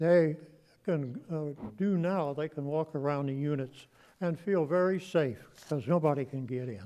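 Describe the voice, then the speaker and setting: At a fairly slow pace, a man talks with a fairly high pitch, ordinary pitch variation and a dark, mellow tone. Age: 80s+. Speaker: war veteran, resident commenting at public meeting. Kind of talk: public comment at city meeting.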